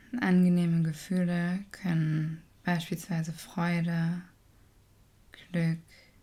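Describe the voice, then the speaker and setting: A woman's somewhat breathy, fairly low voice in a calm, soothing, dark, mellow tone, very slow and monotone, with flat intonation. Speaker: meditation teacher. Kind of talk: guided meditation, gentle and unhurried, addressing listener as "du". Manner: slow, soft-spoken, calm and soothing with long pauses.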